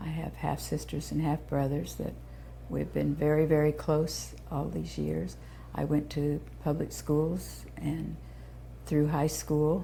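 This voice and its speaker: A woman with an American accent speaks at a very slow pace, with audible room echo. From Indiana, US Midwest (Terre Haute). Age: 70s. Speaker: founder of a children's therapy center. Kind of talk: oral history interview.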